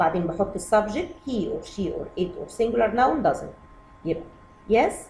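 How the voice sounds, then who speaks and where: A woman speaks at a moderate pace in a fairly high pitch, her pitch swinging very widely and her loudness rising and falling a lot over noticeable background noise. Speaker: English teacher for kids. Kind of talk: lesson. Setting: video lesson.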